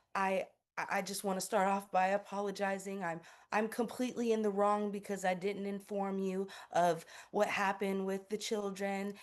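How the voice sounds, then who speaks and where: A shaky, put-on character voice sounds female, at a medium pitch and moderate pace. The intonation is monotone and flat over a quiet background. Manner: apologetic, timid.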